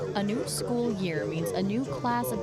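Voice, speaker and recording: Noticeable background noise sits behind a woman whose voice is medium in pitch. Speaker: student reporter. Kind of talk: TV news reporter.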